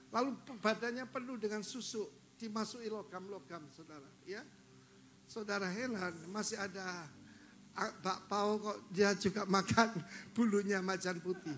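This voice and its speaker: Speaking fairly slowly in a high pitch, a man shows big swings in loudness, with audible room echo around him. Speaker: pastor. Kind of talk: sermon. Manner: animated.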